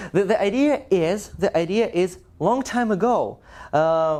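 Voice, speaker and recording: A man speaks in a Russian accent with a high pitch. His tone is dark and mellow. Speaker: language teacher. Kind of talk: talk to a live audience.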